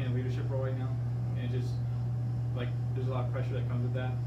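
Loud noise fills the background while a man talks. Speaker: fitness coach. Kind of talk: casual podcast-style discussion. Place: office. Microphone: camera far.

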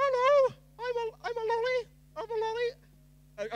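The voice is an extremely high one. It is clearly a put-on character voice. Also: fairly slow pace. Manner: playful, goofy.

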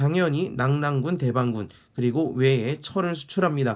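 On a very clean recording with a silent background, a man with an ordinary speaking voice talks at a fairly high pitch with lively intonation. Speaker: history teacher. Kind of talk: lecture. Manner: conversational, rhetorical questions.

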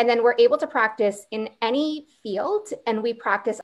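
A normal speaking voice with a Canadian accent at a moderate pace. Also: woman. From Ontario, near Niagara Falls; Ontario. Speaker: physician assistant student. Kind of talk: Q&A panel answers. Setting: live online Q&A. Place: home room. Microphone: video call.

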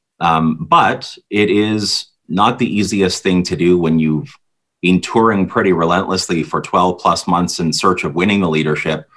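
With a Canadian accent, a man talks at a moderate pace in a very deep, low pitch. His pitch varies in an ordinary way, and the background is quiet. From Ontario. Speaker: provincial party leader; guest. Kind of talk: interview. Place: home room. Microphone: video call.

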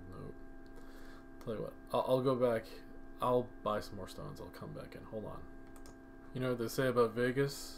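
Quiet and medium in pitch, a man speaks at a moderate pace with fairly even intonation, big swings in loudness, and long, frequent pauses. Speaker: mobile game youtuber. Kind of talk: gaming commentary. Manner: kept quiet.

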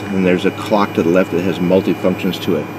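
A man's very deep, low voice at a fairly quick pace, with noticeable background noise. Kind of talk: tutorial. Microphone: phone near.

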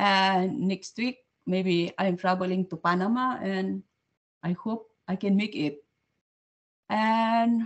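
Speech with a Filipino accent at a very slow pace, with ordinary pitch variation. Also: woman. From Philippines. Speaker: student, restaurant personal assistant. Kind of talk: casual chat. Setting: video call. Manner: cheerful. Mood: friendly, upbeat. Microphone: video call.

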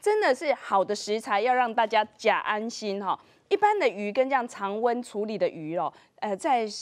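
A normal speaking voice from a woman, fairly high in pitch, with lively intonation at a moderate pace. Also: quiet background. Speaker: TV show host. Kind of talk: TV cooking show hosting. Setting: studio. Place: studio. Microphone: lapel.

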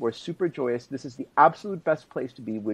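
Here a man talks at a moderate pace. His pitch swings are very wide. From Israel. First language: Hebrew. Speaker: journalist and author; guest commentator. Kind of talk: interview. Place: home room. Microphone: video call.

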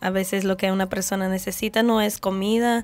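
A woman with a Brazilian accent, medium in pitch, fairly quick, with monotone, flat intonation. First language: Portuguese (speaking Spanish). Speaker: ship crew member; guest. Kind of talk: radio interview. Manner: halting. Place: studio. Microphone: studio mic.

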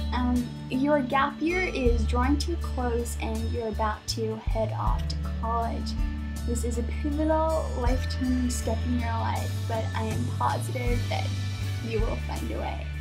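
With clear music in the background, a woman talks at a fairly slow pace. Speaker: vlogger. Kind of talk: casual talk to camera. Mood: playful mock-sentimental. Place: home room. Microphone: webcam.

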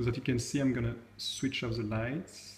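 Audible room echo surrounds a man with a French accent whose somewhat breathy voice keeps a fairly even intonation. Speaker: tech video creator. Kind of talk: tutorial. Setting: at home. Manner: hesitant, many fillers. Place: home room. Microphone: phone near.

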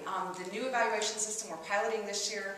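Very fast and with fairly even intonation, a woman talks amid light background noise and audible room echo. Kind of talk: press conference answers. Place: hall. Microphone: camera far.

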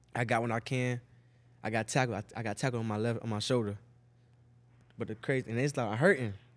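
A man talks at a very fast pace with fairly even intonation, broken by long, frequent pauses. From Miami, Florida (Liberty City); Florida. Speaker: NFL wide receiver; podcast guest. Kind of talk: casual chat. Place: studio. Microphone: studio mic.

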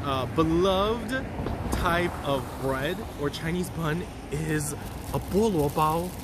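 Against noticeable background noise, a man speaks in a dry sound with no echo. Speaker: food tour guide. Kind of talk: casual vlog chat. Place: street. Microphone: phone near.

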